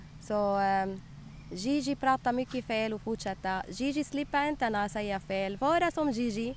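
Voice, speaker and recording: Lively intonation at a moderate pace, with a non-native accent. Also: woman. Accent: non-native Swedish. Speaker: municipal communications worker. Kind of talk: casual chat. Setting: outdoors. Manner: halting.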